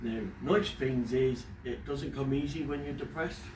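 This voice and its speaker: Audible room echo hangs around this speaker. He is a man with a fairly high pitch. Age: 50s. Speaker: father talking about depression. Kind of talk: casual personal talk to camera. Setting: at home in front of a fish tank. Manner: halting, pausing when emotional.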